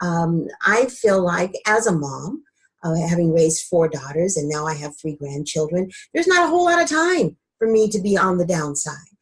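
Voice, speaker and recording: With ordinary pitch variation and a fairly low pitch, a woman's somewhat breathy voice moves at a moderate pace. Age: 60s. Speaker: wellness coach. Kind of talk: interview. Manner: conversational, with frequent fillers.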